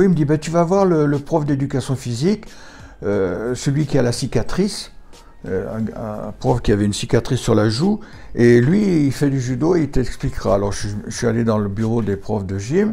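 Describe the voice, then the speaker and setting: A man's dark, mellow voice at medium pitch, with very wide pitch swings and a moderate pace. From France, Saint-Étienne area. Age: 70s. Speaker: judo teacher. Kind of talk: interview. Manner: halting.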